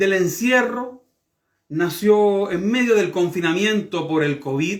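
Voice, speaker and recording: Against a very clean, silent background, a man speaks at a very slow pace with very wide pitch swings. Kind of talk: podcast interview host.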